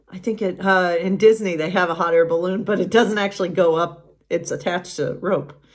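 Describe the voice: The pitch moves in an ordinary way. The delivery is plain reading aloud.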